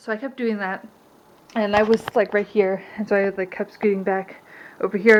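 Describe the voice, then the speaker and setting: A woman talks at a fairly quick pace. Her intonation is monotone and flat. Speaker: stay-at-home mom vlogger. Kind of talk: casual vlog talk to camera. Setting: at home. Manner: fast.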